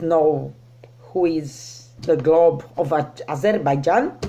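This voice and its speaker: A woman speaks with a non-native accent. Her pace is very slow. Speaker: teacher, scam victim sharing story. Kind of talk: personal testimony. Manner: halting, many fillers.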